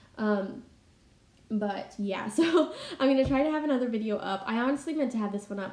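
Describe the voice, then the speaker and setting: Noticeable background noise runs under a woman speaking at a fairly quick pace. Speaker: Bible study YouTuber. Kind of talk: casual voiceover.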